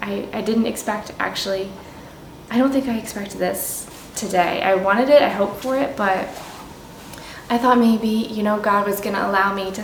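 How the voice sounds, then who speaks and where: Her voice sits at a medium pitch, and her intonation stays fairly even. The room echo is audible, and background noise is noticeable. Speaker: home renovation vlogger. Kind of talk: casual vlog narration.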